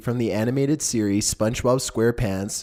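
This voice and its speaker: A man with an ordinary speaking voice talks at medium pitch and a fairly quick pace with fairly even intonation, on a very clean recording with a silent background. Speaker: narrator. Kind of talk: horror countdown narration.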